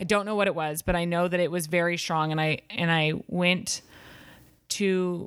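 At a fairly slow pace, a woman talks with a fairly low pitch in a very clean recording over a silent background. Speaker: dating story guest. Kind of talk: casual chat.

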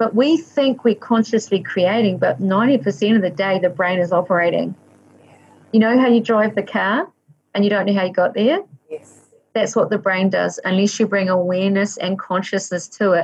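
With a New Zealand accent, a woman speaks at a medium pitch and moderate pace, somewhat breathy, with ordinary pitch variation and big swings in loudness. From New Zealand (Waikato). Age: 50s. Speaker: life coach, former school teacher. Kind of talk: interview conversation.

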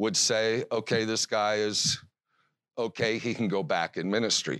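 In an American accent, a man speaks at a moderate pace and medium pitch. The sound is dry and close with no echo, and the background is quiet. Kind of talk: lecture.

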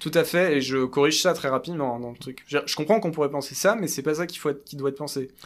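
Over music in the background, a man talks at a very fast pace with hardly any pauses, his fairly high pitch showing ordinary variation while his loudness swings widely. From France, Paris. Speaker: kabbalist thinker and writer. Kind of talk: interview, explaining ideas.

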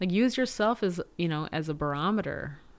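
A woman's normal speaking voice, fairly low in pitch, with lively intonation at a moderate pace, on a very clean recording with a silent background. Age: 30s. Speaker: digital production designer. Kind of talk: casual interview conversation.

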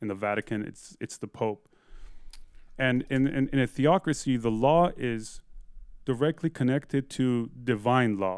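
A man's normal speaking voice in an American accent, medium pitch with ordinary pitch variation, at a fairly slow pace, dry and close with no echo, on a very clean recording with a silent background. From Iran, early childhood in Eugene, Oregon. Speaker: musician and podcaster. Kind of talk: interview.

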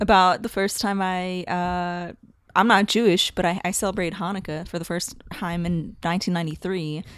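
A woman with an American accent, moderate in pace and monotone with flat intonation. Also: medium pitch for a woman, very clean recording, silent background. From Philadelphia area, US. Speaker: comedian and storyteller. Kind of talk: casual interview chat.

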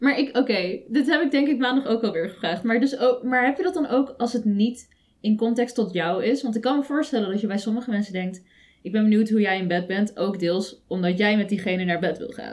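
A woman, using an ordinary speaking voice, speaks fairly quickly at a fairly high pitch, her intonation lively. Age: young. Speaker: podcast co-host. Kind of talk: casual chat.

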